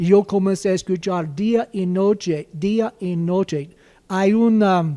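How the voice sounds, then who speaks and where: At a very slow pace, a man speaks with a dark, mellow tone, a high pitch and fairly even intonation. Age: 70s. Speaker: pastor. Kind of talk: panel discussion.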